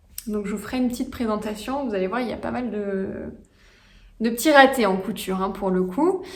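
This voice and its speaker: A woman speaks fairly quickly at a fairly high pitch with ordinary pitch variation and long, frequent pauses, amid audible room echo and noticeable background noise. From France, Franche-Comté. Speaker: knitting and sewing hobby vlogger. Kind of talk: casual vlog monologue. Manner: hesitant, many fillers.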